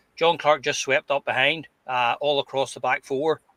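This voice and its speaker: With a Glasgow accent, a man speaks in a monotone, flat intonation and a bright, sharp tone, the sound dry and close with no echo. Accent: Scottish (Glasgow). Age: 60s. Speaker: football podcast panelist. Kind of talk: casual chat. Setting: live stream. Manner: halting, repeats words.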